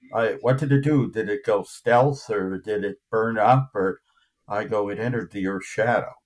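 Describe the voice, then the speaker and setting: With an ordinary speaking voice, a man talks at a moderate pace and medium pitch with ordinary pitch variation, on a very clean recording with a silent background. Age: 60s. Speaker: UFO investigator. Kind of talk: interview. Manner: conversational, many fillers.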